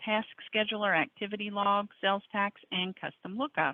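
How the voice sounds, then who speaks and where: A woman at medium pitch speaks in an unremarkable speaking voice. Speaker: software trainer. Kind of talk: webinar tutorial.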